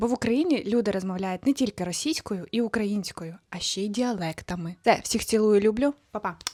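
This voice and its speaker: In a very clean recording with a silent background and a dry, close sound with no echo, a woman uses a normal speaking voice at a fairly high pitch, moderate pace and ordinary pitch variation. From southern Ukraine, Kherson region. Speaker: video blogger. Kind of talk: casual vlog monologue.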